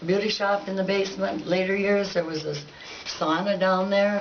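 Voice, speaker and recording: A woman with an American accent talks at a fairly slow pace in a medium pitch. Noticeable background noise and audible room echo are present. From Baker, Montana (eastern Montana, US). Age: 80s+. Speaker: local resident giving oral history. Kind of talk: oral history recollection. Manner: halting, with hesitations.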